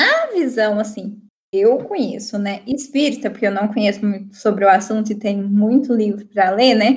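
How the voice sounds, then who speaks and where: Somewhat breathy, a woman with a fairly high pitch speaks at a moderate pace with fairly even intonation. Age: 20s. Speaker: master's student, spiritist guest. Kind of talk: casual chat.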